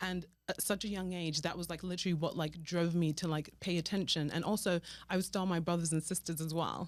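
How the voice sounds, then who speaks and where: Someone with a British accent talks at a very fast pace in monotone, flat intonation. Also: woman, fairly low pitch for a woman. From Nigeria, then raised in London. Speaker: fashion stylist, business owner. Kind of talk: interview.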